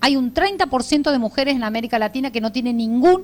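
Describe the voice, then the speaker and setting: A woman talks at a very fast pace. Her pitch is high and her intonation lively. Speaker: lecturer on care rights. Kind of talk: lecture.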